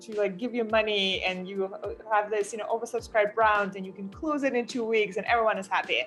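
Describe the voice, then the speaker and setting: A woman's fairly high voice with a non-native accent, fairly quick pace and ordinary pitch variation. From outside the US (immigrant). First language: not English. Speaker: startup founder. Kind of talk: interview. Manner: halting, many fillers.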